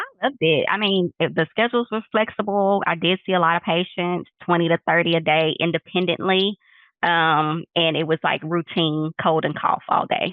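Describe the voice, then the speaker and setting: A woman with a Texas accent speaks in a fairly low pitch, her loudness very even and her intonation fairly even. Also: moderate pace. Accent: Texas accent, noticeable. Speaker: nurse practitioner, clinic owner. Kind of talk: interview.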